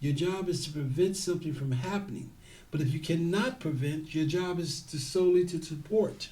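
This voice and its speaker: With an American accent and a fairly high pitch, a man speaks at a moderate pace in a dark, mellow tone with ordinary pitch variation, and audible room echo surrounds him. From San Francisco, US West Coast. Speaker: security guard trainer. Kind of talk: interview.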